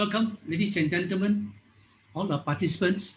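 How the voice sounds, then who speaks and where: A man is speaking. He has a Malaysian accent. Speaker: workshop host and introducer. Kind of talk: formal introduction at online workshop. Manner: fast.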